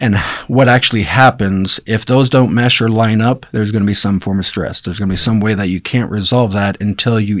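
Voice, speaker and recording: A man with a plain, everyday voice speaks at a fairly quick pace. His pitch is fairly low and his intonation fairly even. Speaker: doctor. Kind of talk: casual chat.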